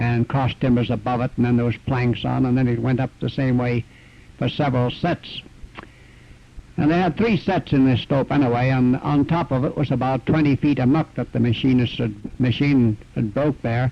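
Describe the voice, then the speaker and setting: An ordinary speaking voice comes at a moderate pace with very even loudness and fairly even intonation. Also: man, medium pitch for a man. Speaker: retired miner. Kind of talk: oral history interview.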